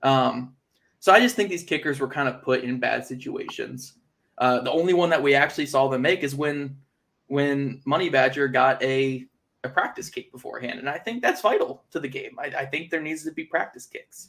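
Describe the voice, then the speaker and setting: Speaking at a moderate pace, a man uses a fairly high voice with ordinary pitch variation. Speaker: football content creator. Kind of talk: livestream commentary. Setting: livestream. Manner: sarcastic-sounding; casual.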